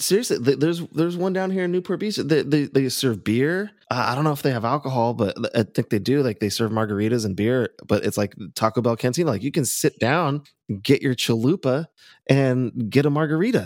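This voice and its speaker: In a very clean recording with a silent background, a man at medium pitch talks at a fairly quick pace with lively intonation in an unremarkable speaking voice. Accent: American. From California, Orange County. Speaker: friend of the host, musician. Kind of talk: casual chat.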